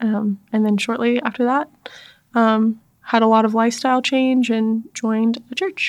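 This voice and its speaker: At a moderate pace, a woman speaks with an unremarkable speaking voice at fairly high pitch, her loudness very even and her intonation fairly even. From US South, North Carolina (army family, moved around). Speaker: church staff member and former teacher. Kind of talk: casual interview chat.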